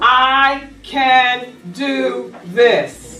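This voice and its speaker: The tone is animated, with audible room echo. Noticeable background noise runs underneath. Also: woman. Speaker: life coach. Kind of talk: workshop presentation to live audience.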